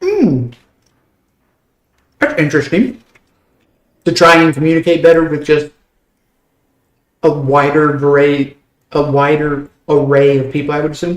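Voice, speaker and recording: With an American accent, a man speaks at a moderate pace and fairly even intonation. He leaves long, frequent pauses. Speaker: gaming streamer. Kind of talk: casual chat.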